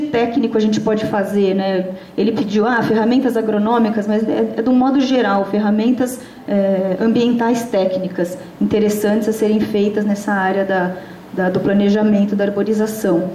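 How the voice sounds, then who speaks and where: Audible room echo and noticeable background noise fill the recording. The loudness stays very even throughout. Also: woman. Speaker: researcher and conference speaker. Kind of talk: conference talk. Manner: fast; halting, many fillers.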